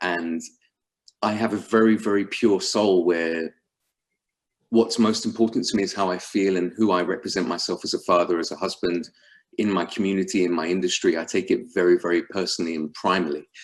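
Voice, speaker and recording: A man with a London accent and a very deep, low pitch, talking at a fairly quick pace on a very clean recording with a silent background. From England, London. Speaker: sales executive at a fintech company. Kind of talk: business call presentation. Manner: animated.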